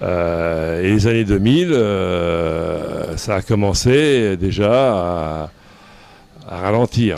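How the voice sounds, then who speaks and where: There is audible room echo and noticeable background noise as a man speaks very slowly with a very deep, low pitch. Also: ordinary pitch variation. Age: 60s. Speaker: pastry chef and business owner. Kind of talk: interview. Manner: hesitant, frequent fillers and repeats.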